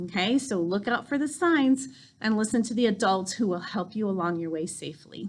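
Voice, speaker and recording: Lively intonation from a woman at a fairly high pitch, somewhat breathy and at a fairly quick pace. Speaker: school principal. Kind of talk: school video tour. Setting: school campus, indoors.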